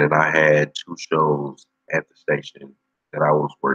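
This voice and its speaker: A man speaks. The sound is dry and close, with no echo. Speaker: livestream host, former radio personality. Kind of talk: casual chat. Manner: laid back.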